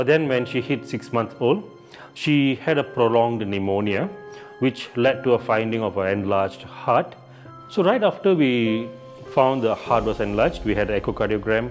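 Faint music plays in the background as the speaker goes at a moderate pace. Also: man. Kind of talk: interview answer. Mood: somber, reflective. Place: home room.

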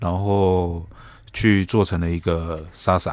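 Very slowly, a man speaks in a very deep, low pitch with monotone, flat intonation and a dry sound with no echo. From Taiwan. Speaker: chef; guest. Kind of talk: radio interview. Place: studio. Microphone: studio mic.

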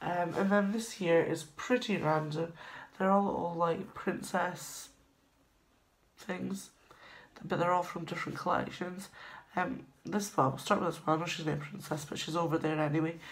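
At a moderate pace, a woman with a fairly low pitch speaks with long, frequent pauses. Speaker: vlogger. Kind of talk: casual vlog chat. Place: home room. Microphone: phone near.

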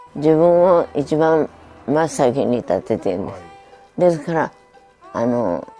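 With faint music in the background, a woman talks at a fairly slow pace in a very deep, low pitch. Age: 80s+. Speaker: midwife. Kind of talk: interview answer. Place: home room.

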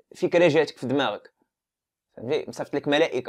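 Against a quiet background, a man with a plain, everyday voice talks at a fairly high pitch with ordinary pitch variation. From Morocco, Casablanca. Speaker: YouTuber discussing religion. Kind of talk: casual monologue on religion. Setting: filming at home. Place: home room. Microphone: lapel.

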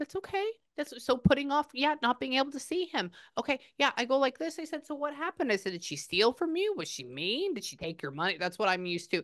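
A woman with a high pitch, very wide pitch swings, and an animated tone at a very fast pace, over a quiet background. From Texas. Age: 30s. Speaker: psychic medium. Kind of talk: psychic reading session. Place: home room. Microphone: lapel.

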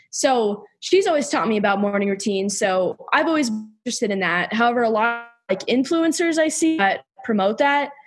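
With music in the background, a woman speaks at a fairly quick pace and fairly high pitch, her pitch swinging very widely. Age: 20s. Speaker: former college gymnast. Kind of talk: casual interview conversation.

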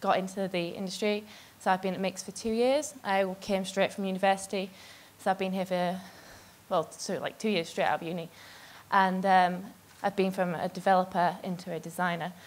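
With fairly even intonation, a woman talks at a fairly quick pace. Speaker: conference speaker. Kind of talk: talk to an audience. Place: stage. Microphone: handheld.

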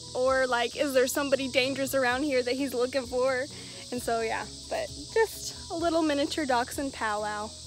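Over noticeable background noise, a woman talks in a high voice at a fairly quick pace, the sound dry with no echo. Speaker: pet vlogger. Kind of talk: casual vlog chat. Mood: amused, cheerful. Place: open country. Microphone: phone near.

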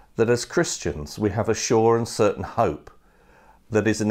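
Speaking at a fairly slow pace is a man. The background is quiet. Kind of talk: sermon. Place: home room. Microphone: lapel.

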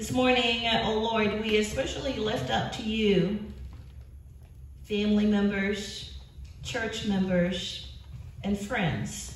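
Over light background noise and audible room echo, a woman speaks at a very slow pace with long, frequent pauses. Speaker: pastor leading prayer. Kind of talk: spoken prayer. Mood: calm, reverent. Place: church.

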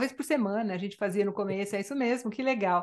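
A woman's voice with ordinary pitch variation. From Brazil. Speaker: Spanish language teacher. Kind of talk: interview. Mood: warm, friendly. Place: home room. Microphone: studio mic.

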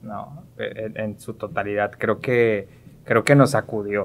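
Speaking at a fairly slow pace, a man uses a medium pitch. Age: young. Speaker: psychologist, education entrepreneur; podcast guest. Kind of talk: casual interview chat. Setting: studio. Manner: halting, repetitive fillers. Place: studio. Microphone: studio mic.

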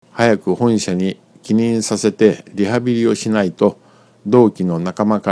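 A man with a fairly low pitch and a dark, mellow tone talks at a fairly slow pace. His pitch varies in an ordinary way, and the sound is dry and close with no echo. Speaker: narrator. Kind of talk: reading aloud.

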